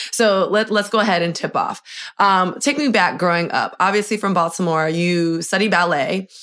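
In an American accent, a woman speaks at a moderate pace and a medium pitch, with ordinary pitch variation. Her loudness stays very even on a very clean recording with a silent background. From US, Miami. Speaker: podcast host, in-arena sports host. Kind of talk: casual interview chat. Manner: animated.

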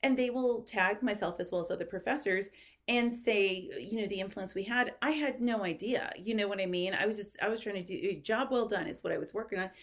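A woman talks at a fairly quick pace in a normal speaking voice. Her pitch sits fairly high and varies in an ordinary way. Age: 40s. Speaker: publicist. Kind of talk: casual chat.

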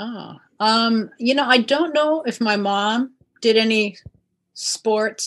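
A woman talks at a very slow pace with fairly high pitch and ordinary pitch variation. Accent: Pacific Northwest. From Kirkland, Washington, US. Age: 60s. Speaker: CrossFit athlete, 65+ champion. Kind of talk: casual interview.

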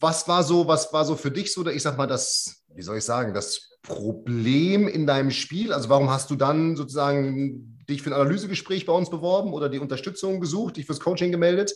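Noticeable background noise sits under speech that moves at a fairly quick pace, with ordinary pitch variation and hardly any pauses. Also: man, fairly high pitch for a man. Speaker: golf coach and podcast host. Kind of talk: casual interview. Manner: hesitant, many fillers.

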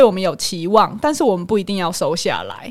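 In a strong Taiwanese accent, a woman talks at a fairly quick pace with very wide pitch swings. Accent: strong Taiwanese Mandarin. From Taiwan, Hualien. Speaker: psychologist. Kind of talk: casual chat.

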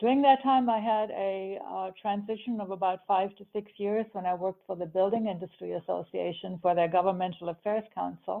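With an unremarkable speaking voice, a woman talks at a fairly quick pace with hardly any pauses, keeping a medium pitch and fairly even intonation while her loudness swings widely. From Germany, raised in US from age 10. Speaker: nonprofit CEO. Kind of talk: interview.

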